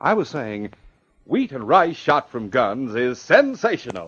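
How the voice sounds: A man puts on a character voice with big pitch swings, a fairly bright tone and a slightly husky edge, speaking at a fairly slow pace. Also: medium pitch for a man.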